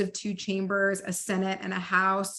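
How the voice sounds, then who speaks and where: A woman with an American accent speaks in a bright, sharp tone on a very clean recording with a silent background. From Dallas, Texas. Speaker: policy advocate, trainer. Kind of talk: training presentation. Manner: fast.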